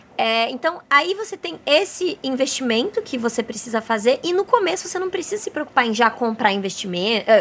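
Over noticeable background noise, a woman speaks at a fairly quick pace, her pitch swinging very widely. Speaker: podcast host, travel and self-discovery. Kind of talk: casual interview chat. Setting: bungalow by the beach, on location.

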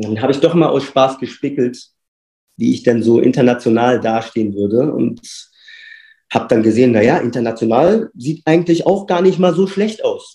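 Intonation is lively at a moderate pace. The tone is dark and mellow. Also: man, medium pitch for a man. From Berlin, Germany. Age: 40s. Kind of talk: casual interview.

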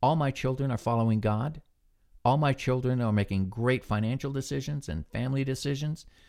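Talking at a fairly quick pace, a man with an American accent has a medium pitch and a dark, mellow tone. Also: very clean recording, silent background. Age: 60s. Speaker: Bible devotional podcaster, retired military. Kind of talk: devotional. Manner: relaxed, conversational, reflective, with filler words.

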